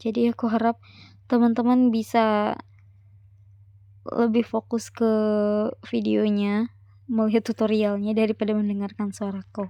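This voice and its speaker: This woman's voice has a dark, mellow tone, heard dry and close with no echo. She keeps a flat, monotone delivery at a moderate pace, with long, frequent pauses. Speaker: university student. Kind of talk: tutorial. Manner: casual.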